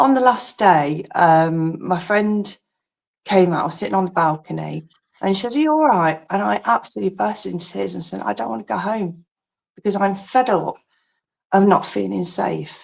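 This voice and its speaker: Speaking with an English accent, a woman uses a fairly low pitch at a moderate pace. Her pitch swings very widely. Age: 50s. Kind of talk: casual chat.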